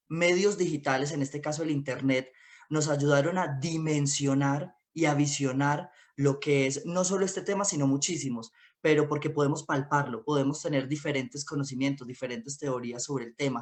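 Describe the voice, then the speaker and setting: This man has an ordinary speaking voice, pitched fairly high. He moves at a moderate pace with ordinary pitch variation. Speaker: independent communicator. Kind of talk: panel discussion talk.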